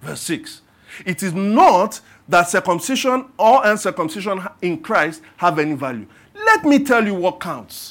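The delivery is fairly slow, with very wide pitch swings. Loudness shifts in big swings too. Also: man, high pitch for a man. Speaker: pastor. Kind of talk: sermon. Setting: church.

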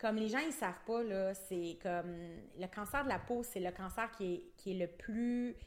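Speaking at a fairly slow pace in a Quebec accent, a woman uses a medium pitch with ordinary pitch variation. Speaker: aesthetic clinic owner. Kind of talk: casual chat. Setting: studio.

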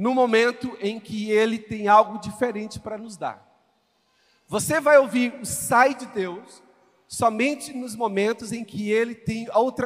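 A high-pitched man at a fairly slow pace, with big swings in loudness. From Brazil, Goiânia (Goiás). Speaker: visiting pastor. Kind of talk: sermon. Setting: church stage with congregation. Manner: animated.

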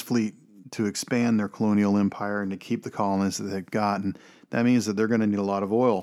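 A man at a fairly low pitch and fairly quick pace, monotone and flat in intonation, on a very clean recording with a silent background. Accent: Texan. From Texas. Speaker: film podcast host. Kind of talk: film commentary monologue. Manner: rambling, unscripted.

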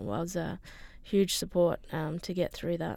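Speaking in an Australian accent, a woman talks at a fairly slow pace with monotone, flat intonation. The recording is very clean, with a silent background. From Broome, Western Australia. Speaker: parent of a child with heart disease. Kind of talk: radio interview.

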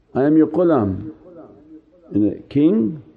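A man's fairly high voice with very wide pitch swings over noticeable background noise. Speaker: Sufi teacher. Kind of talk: sermon; fervent prayer, a pleading supplication spoken to the Prophet, with humble self-abasement. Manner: fervent, pleading, devotional, intense, urgent supplication with emotion.

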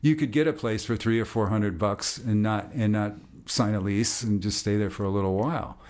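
This man has a normal speaking voice with an American accent, pitched fairly low with ordinary pitch variation. He talks at a fairly quick pace. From US Midwest, Minneapolis. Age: 60s. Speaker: jazz bassist. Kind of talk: casual interview.

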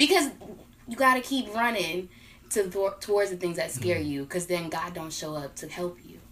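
With an American accent and an unremarkable speaking voice, a woman of medium pitch talks at a moderate pace, her intonation lively and her loudness swinging widely. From Northern Virginia, US. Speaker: production assistant and co-host. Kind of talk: casual podcast discussion. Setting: call.

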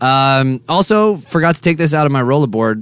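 An unremarkable speaking voice from a man, medium pitch, lively intonation, on a very clean recording with a silent background. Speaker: podcast host. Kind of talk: casual comedic banter. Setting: bus lounge, recording.

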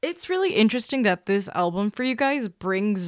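With lively intonation, a woman talks at a fairly quick pace in a normal speaking voice. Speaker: podcast editor. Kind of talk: moderated podcast discussion.

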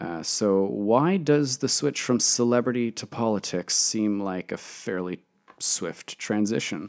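A man with a Canadian accent uses an ordinary speaking voice at a fairly low pitch with ordinary pitch variation. The recording is very clean with a silent background. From Canada (Toronto). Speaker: podcast host. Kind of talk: solo commentary monologue.

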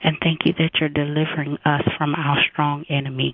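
A woman with a very deep, low pitch talks at a moderate pace in fairly even intonation, with noticeable background noise. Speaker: caller praying. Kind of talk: fervent prayer. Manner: bold, declaring, emphatic.

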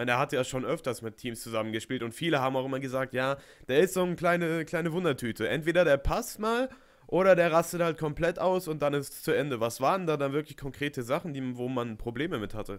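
A man's very fast speech at a fairly high pitch, with ordinary pitch variation. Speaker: podcast host. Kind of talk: interview.

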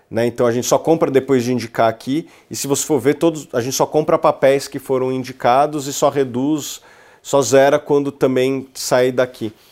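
A man with an ordinary speaking voice and medium pitch talks at a moderate pace with fairly even intonation. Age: 30s. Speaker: investment research executive. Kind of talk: casual interview.

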